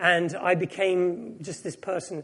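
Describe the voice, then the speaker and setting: A man's high-pitched voice. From England, raised at English boarding school after Japan and Hong Kong. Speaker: preacher, former actor. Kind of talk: sermon.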